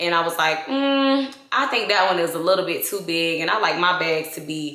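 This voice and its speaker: A woman with a Southern US accent, fairly low in pitch, at a moderate pace, with an animated tone and lively intonation, in audible room echo with noticeable background noise. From US South, Georgia. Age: 20s. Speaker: beauty and fashion vlogger. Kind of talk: casual vlog unboxing. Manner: chatty, animated.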